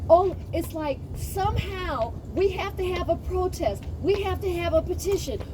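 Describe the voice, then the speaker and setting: A woman speaks at an extremely high pitch with ordinary pitch variation, at a fairly slow pace with hardly any pauses. Noticeable background noise and audible room echo fill the recording. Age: 60s. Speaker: community activist. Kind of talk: heated debate. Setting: outdoors. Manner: animated.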